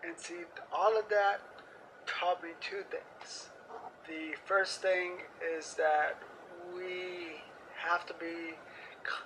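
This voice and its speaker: Very slow, monotone speech with flat intonation and long, frequent pauses, over noticeable background noise. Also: man, high pitch for a man. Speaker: civic engagement coordinator. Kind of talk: interview.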